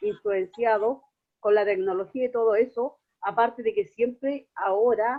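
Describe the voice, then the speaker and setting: A woman with a plain, everyday voice talks at a fairly slow pace, fairly high in pitch with fairly even intonation. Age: 60s. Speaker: student in online course. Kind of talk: class discussion comment.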